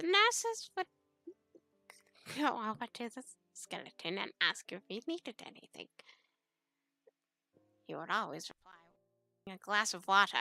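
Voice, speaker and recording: Music plays in the background as a woman talks at a moderate pace, the sound dry and close with no echo. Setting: raw audio with a poor microphone, no visuals. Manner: hesitant, stumbling, repeating words.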